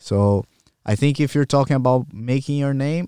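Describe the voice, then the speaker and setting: In a Portuguese accent, a man with a dark, mellow tone talks at a moderate pace with ordinary pitch variation, the sound dry and close with no echo on a very clean recording with a silent background. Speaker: jiu-jitsu athlete and coach. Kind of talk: casual interview.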